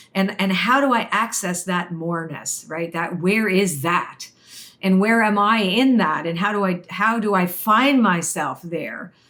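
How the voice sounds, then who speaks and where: Through noticeable background noise, a woman with a Canadian accent talks at a fairly slow pace, at a medium pitch with ordinary pitch variation. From Canada, Toronto. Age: 60s. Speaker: oracle card reader and spiritual teacher. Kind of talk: interview, personal story. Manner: animated, with frequent restarts and fillers.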